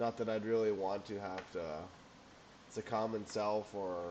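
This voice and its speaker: Mumbling, a man talks at a fairly low pitch with ordinary pitch variation. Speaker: amateur stock trader. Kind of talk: screen-share market analysis. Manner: halting.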